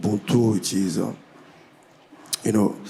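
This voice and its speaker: The speaker has a French accent, with noticeable background noise behind. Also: man. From DR Congo. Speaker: musician. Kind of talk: panel discussion. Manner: halting.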